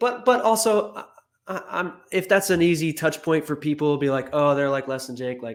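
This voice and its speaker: The intonation is lively, in an American accent. The speaker goes at a moderate pace. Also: man, fairly high pitch for a man. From New Jersey. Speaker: record label owner and musician. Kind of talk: casual interview chat.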